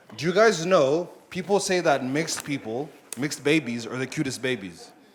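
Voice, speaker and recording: A man's fairly high pitch with lively intonation over noticeable background noise. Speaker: stand-up comedian. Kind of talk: stand-up. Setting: stage with audience. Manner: animated.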